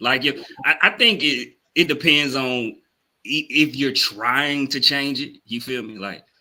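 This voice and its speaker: A man's fairly high-pitched voice with a strong Southern US accent, bright and sharp in tone, at a fairly slow pace with ordinary pitch variation. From US South. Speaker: podcast co-host. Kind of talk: casual chat.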